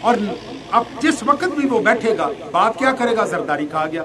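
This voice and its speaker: A man speaks in a raised, projected voice at an extremely high pitch, with very wide pitch swings, audible room echo and noticeable background noise. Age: 60s. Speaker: retired army officer and religious speaker. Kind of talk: religious lecture.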